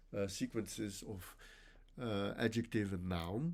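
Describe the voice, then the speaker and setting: A man speaks with a Dutch accent. His pace is fairly slow. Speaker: linguistics professor. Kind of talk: academic lecture. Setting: conference workshop presentation. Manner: halting, many self-corrections.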